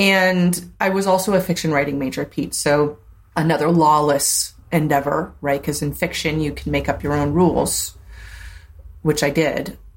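Vocal fry runs through this woman's very deep, low voice, and her intonation stays fairly even. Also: moderate pace. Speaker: tech entrepreneur and former radio DJ. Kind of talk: casual interview chat. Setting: video call.

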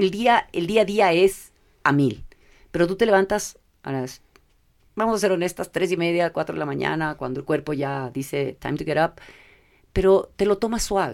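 At a moderate pace, a woman with a fairly low voice speaks with lively intonation and long, frequent pauses. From Ecuador. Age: 50s. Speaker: corporate affairs manager. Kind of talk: interview conversation. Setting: studio.

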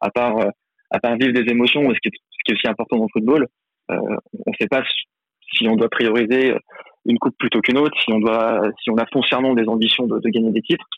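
The pace is fairly quick, with long, frequent pauses. Intonation stays monotone and flat, and loudness very even. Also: man, medium pitch for a man. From Lyon, France. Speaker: football fan pundit. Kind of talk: casual chat.

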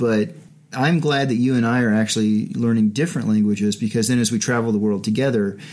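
Talking at a very fast pace, a man holds a medium pitch and fairly even intonation. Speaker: podcast host. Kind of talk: casual chat. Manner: hesitant, fillers.

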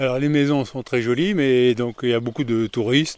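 A man speaks in a plain, everyday voice. His pace is moderate and his pitch variation ordinary. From Paris. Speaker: podcaster walking a pilgrimage route. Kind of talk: travel audio diary. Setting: outdoors walking.

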